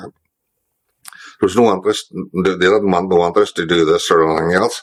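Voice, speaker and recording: Talking at a fairly quick pace, a man with a Northern Irish accent uses a very deep, low voice and fairly even intonation. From Derry, Northern Ireland. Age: 60s. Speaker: former IRA prisoner. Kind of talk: interview answer. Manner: casual, conversational.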